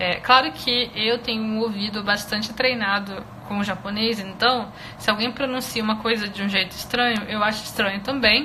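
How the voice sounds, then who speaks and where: Over noticeable background noise, a woman speaks with a Brazilian accent at a moderate pace. Her pitch is fairly high and her intonation fairly even. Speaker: Japanese language teacher. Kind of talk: live online lesson. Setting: Instagram live stream. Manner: hesitant, many filler sounds.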